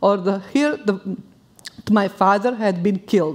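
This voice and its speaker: Over a quiet background, a woman with a Bosnian accent talks at a fairly high pitch. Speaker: war refugee. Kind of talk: live personal storytelling. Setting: stage. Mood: solemn, grave. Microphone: headset.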